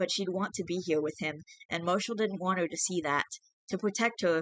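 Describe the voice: Ordinary pitch variation in plain reading aloud, quiet background behind it.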